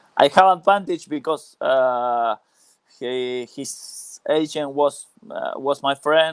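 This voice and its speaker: A man with a non-native accent, fairly high pitch, ordinary pitch variation, big swings in loudness and a very slow pace, the sound dry and close with no echo. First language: Spanish. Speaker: former professional footballer. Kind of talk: interview. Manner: halting, many hesitations.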